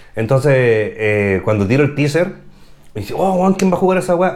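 An animated man at a moderate pace, fairly high in pitch, with very wide pitch swings and noticeable background noise. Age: 40s. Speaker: YouTuber and photographer. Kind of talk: casual chat.

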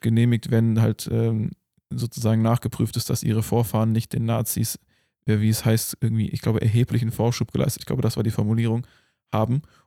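A man speaks at a medium pitch with a dark, mellow tone, fairly even intonation and very even loudness. The sound is dry and close with no echo, on a very clean recording with a silent background. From Germany. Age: 20s. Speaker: podcast host. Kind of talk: casual chat.

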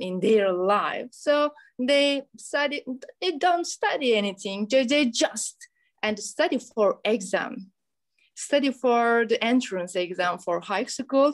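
With a Turkish accent, a woman talks very slowly in a high voice with lively intonation. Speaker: English teacher hosting school program. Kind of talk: school radio interview. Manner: formal.

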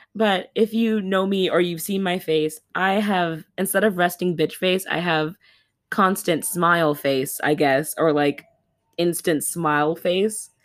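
Speaking at a fairly slow pace, a woman with a fairly low pitch sounds animated, her loudness very even and her pitch varying in an ordinary way. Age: 20s. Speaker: podcast host. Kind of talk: casual monologue. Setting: home recording, handheld microphone.

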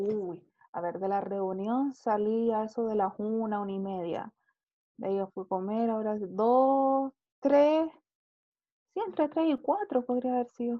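Speaking with long, frequent pauses, a woman uses a fairly high pitch and ordinary pitch variation. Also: fairly slow pace. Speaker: podcast co-host. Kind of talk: casual chat. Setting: video call.

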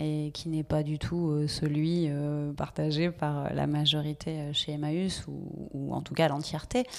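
Recorded very cleanly against a silent background, a woman speaks at a very slow pace. Her pitch is very deep and low. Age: 40s. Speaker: social enterprise director. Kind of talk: interview. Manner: hesitant, many fillers.

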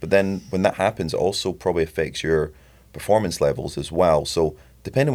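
The talking goes at a fairly quick pace. It is a very clean recording with a silent background. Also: man. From Scotland, Edinburgh. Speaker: youth soccer coach. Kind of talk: casual chat. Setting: studio.

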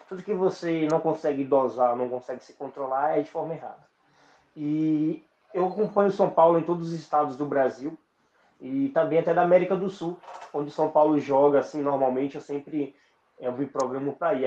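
Speaking at a moderate pace with ordinary pitch variation, a man has an unremarkable speaking voice pitched fairly high. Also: big swings in loudness. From Brazil, western Bahia (Northeast). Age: 20s. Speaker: podcaster. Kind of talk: casual interview chat.

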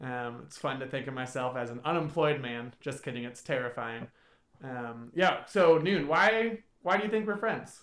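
With a normal speaking voice, a man talks at a moderate pace and medium pitch, his intonation lively and his loudness swinging widely. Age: 30s. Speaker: podcast host. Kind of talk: casual chat. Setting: home recording, faulty microphone.

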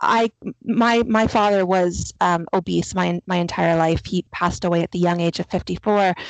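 A woman talks at a moderate pace in a fairly low pitch, with a plain, everyday voice. The sound is dry and close with no echo, over a quiet background. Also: fairly even intonation. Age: 40s. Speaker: podcast host. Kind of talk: interview conversation.

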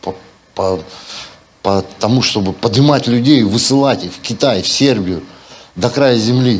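A man speaks at a medium pitch and a fairly slow pace, with ordinary pitch variation and long, frequent pauses. His loudness swings widely, and the recording carries noticeable background noise and audible room echo. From Siberia, Russia. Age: 50s. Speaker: pastor. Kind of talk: sermon. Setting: church. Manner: animated.

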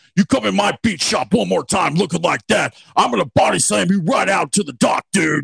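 In a raspy, put-on character voice with very wide pitch swings, the speaker rushes along at a fairly quick pace with hardly any pauses, the sound dry and close with no echo. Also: man, fairly high pitch for a man. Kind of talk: casual, surfer slang. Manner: threatening, blustery, bravado.

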